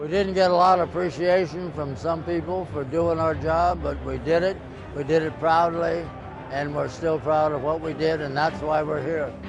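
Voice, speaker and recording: Over music in the background and audible room echo, a man with an American accent speaks at a moderate pace, his fairly high pitch held in fairly even intonation. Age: 80s+. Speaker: war veteran. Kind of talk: testimony.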